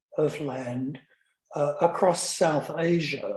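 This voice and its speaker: The speaker is a man with an Australian accent. His voice sits at a fairly high pitch. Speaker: academic lecturer. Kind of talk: lecture. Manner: halting, many fillers.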